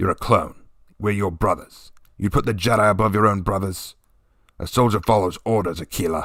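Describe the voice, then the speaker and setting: Using a put-on character voice, a man speaks raspy and fairly low-pitched at a fairly quick pace. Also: fairly even intonation. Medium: read story. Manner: barking, formal.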